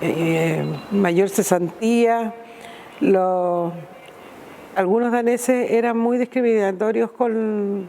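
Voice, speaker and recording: Speaking at a very slow pace with long, frequent pauses, a woman keeps a fairly high pitch, ordinary pitch variation and very even loudness over noticeable background noise. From Chile, Iquique. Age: 60s. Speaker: migrant interviewee. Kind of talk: testimony.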